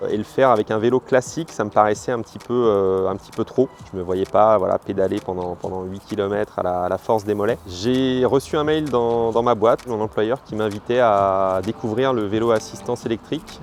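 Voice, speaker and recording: Noticeable background noise sits behind a man whose fairly low pitch and fairly even intonation run on with hardly any pauses. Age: 40s. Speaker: journalist giving a customer testimonial. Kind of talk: testimony. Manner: hesitant, many fillers and repeated words.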